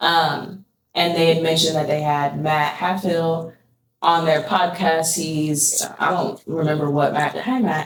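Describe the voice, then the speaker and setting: At a fairly slow pace, a woman speaks with a fairly low pitch and fairly even intonation. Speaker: creative director and sneaker community advocate. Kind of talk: podcast interview. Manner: monotone; direct.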